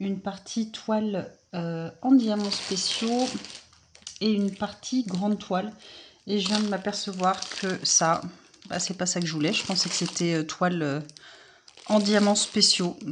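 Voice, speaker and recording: With fairly even intonation, a woman of medium pitch speaks at a fairly slow pace, leaving long, frequent pauses. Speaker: craft hobby youtuber. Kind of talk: casual unboxing vlog. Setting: at home, early morning. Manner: soft-spoken; hesitant, many fillers.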